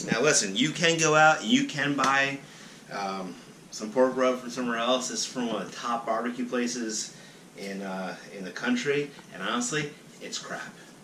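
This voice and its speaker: A man speaks at a medium pitch with ordinary pitch variation. His loudness swings widely against noticeable background noise. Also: moderate pace. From South Carolina. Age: 30s. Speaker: bartender. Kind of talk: casual talk to camera.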